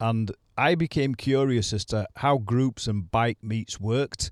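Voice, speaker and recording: A man talks at a fairly slow pace in a Yorkshire accent, at medium pitch with ordinary pitch variation, in a dry, close sound with no echo on a very clean recording with a silent background. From Leeds, West Yorkshire, England. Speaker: motorcycling podcast host. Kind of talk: solo podcast monologue. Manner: conversational, some repetitions.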